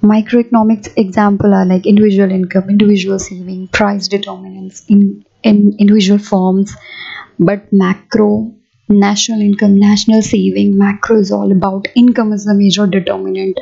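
Music plays in the background as a woman with a medium pitch speaks at a moderate pace in a monotone, flat intonation. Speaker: teacher. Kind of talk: lecture.

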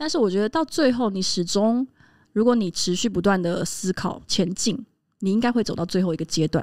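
A woman at a fairly quick pace, lively in intonation, against a quiet background. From Taiwan. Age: 30s. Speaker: podcast co-host. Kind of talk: casual chat. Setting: live podcast recording before a small audience. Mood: reflective, thoughtful. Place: studio. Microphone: studio mic.

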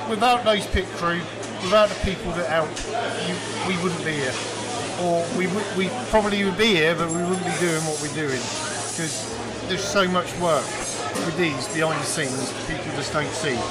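Over loud background noise, a man talks at a moderate pace with ordinary pitch variation. Long pauses come often. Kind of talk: interview answer. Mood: pleased, upbeat. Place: garage. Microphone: handheld.

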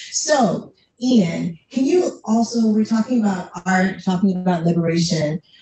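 The speech is fairly slow, with lively intonation and very even loudness, and the room echo is audible. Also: woman. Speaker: panel moderator, nonprofit executive director; panel moderator. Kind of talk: panel discussion. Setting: stage with audience. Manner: warm and animated. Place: classroom.

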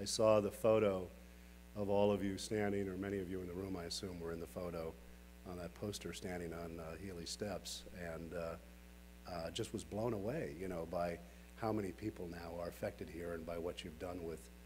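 A man speaks with a very deep, low pitch. Light background noise sits behind him. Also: ordinary pitch variation, fairly quick pace. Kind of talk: keynote speech. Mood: warm, lightly joking. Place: hall. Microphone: podium.

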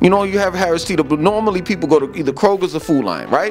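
With faint music in the background, a man speaks at a high pitch with ordinary pitch variation. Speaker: vlogger. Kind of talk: casual vlog chat. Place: home room.

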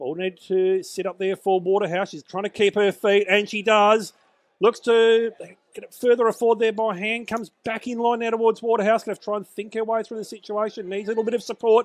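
A man with an Australian accent speaks at a high pitch with fairly even intonation and big swings in loudness, his voice sounding dry and close with no echo. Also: quiet background. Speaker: match commentator. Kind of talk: live commentary. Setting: Australian football match broadcast.

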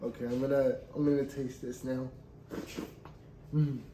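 A man at a fairly slow pace amid noticeable background noise. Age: 20s. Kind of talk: casual cooking video talk to camera. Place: kitchen. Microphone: camera far.

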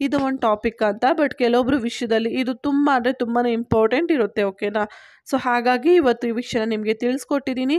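A woman speaks in a high voice with fairly even intonation and very even loudness, recorded very cleanly against a silent background with a dry, close sound and no echo. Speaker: YouTube health-tips presenter. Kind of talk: informational monologue.

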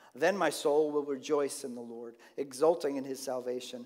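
A man talks at a moderate pace. Behind him, the background is quiet. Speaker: pastor. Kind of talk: sermon. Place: church.

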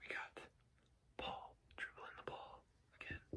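A man is whispering. His pace is fairly slow. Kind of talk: casual ASMR-style tutorial. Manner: soft, quiet ASMR-style speech. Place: home room. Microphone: webcam.

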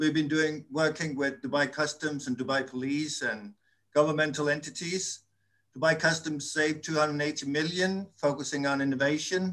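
Against a quiet background, a man with a Danish accent speaks at a moderate pace in a fairly high voice with fairly even intonation. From Denmark. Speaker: audience participant. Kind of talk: panel discussion. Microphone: video call.

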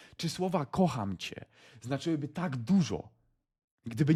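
A man speaks in an animated tone with lively intonation. His voice is somewhat breathy. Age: 20s. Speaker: motivational vlogger. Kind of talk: motivational monologue.

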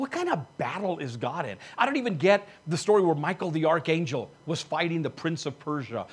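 A man talks at a moderate pace in a fairly high pitch with lively intonation. His voice has a slightly husky edge.

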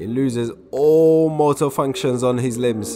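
Over music in the background, a man talks in an animated, enthusiastic tone at medium pitch with ordinary pitch variation. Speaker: sports commentator. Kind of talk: sunday league match commentary, live play-by-play. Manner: animated, quick-paced play-by-play; enthusiastic, excitable on goals.

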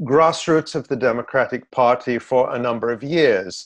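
At a fairly slow pace and with ordinary pitch variation, the voice comes through against a quiet background. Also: man. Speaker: political commentator. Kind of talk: interview answer. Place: home room. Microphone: webcam.

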